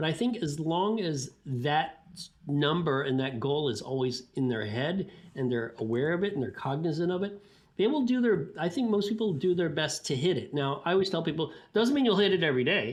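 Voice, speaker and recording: A man speaks with an ordinary speaking voice. His pitch is fairly high, and his intonation is lively. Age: 60s. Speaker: sports scientist. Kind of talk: interview. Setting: podcast. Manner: casual, with frequent fillers and restarts.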